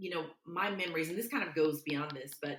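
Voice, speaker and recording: With a Southern US accent, a woman speaks in a very deep, low pitch and fairly even intonation. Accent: Southern country. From US South, Mobile, Alabama. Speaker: public speaker. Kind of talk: interview conversation.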